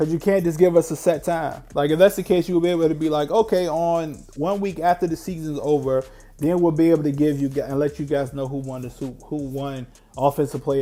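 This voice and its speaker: At a fairly quick pace the talking goes on while music plays underneath. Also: man. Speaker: sports streamer, live game reaction. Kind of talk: live reaction commentary.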